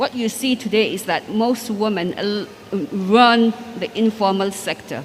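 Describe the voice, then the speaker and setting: Fairly slow, fairly high-pitched speech from a woman, with fairly even intonation and noticeable background noise. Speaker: banker and former state commissioner. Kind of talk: panel discussion.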